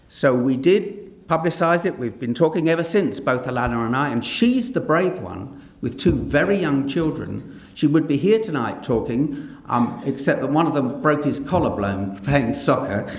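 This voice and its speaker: The speech has lively intonation and hardly any pauses. Audible room echo and noticeable background noise come through. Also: man, fairly high pitch for a man, moderate pace. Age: 60s. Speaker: paediatrician and professor. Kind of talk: public talk. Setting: stage with audience.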